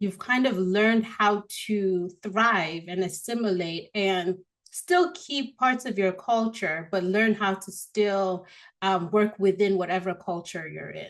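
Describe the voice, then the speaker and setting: A woman with an American accent speaks at a fairly slow pace. Her medium pitch carries fairly even intonation. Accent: Nigerian with American-leaning tones. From Nigeria. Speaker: marketing expert. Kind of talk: podcast interview.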